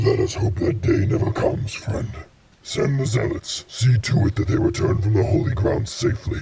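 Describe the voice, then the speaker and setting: A man puts on a character voice, keeping a medium pitch and a moderate pace. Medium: audio drama. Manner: cold, commanding.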